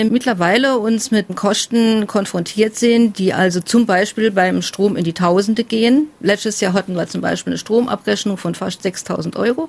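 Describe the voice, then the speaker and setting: Speech flows at a moderate pace with ordinary pitch variation and hardly any pauses. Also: woman. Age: 40s. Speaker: family carer. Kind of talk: interview testimony.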